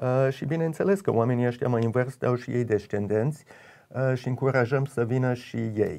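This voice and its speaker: Dark and mellow in tone, a man's medium-pitched voice moves at a moderate pace with ordinary pitch variation. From United States (left Romania at age 8). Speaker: event organizer, noble family descendant; interview guest. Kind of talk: radio interview. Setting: radio studio. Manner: halting, many hesitations. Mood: calm, warm. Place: studio.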